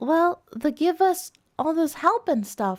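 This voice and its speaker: The pace is fairly slow. The speaker uses a put-on character voice. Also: woman, extremely high pitch for a woman. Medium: virtual streamer.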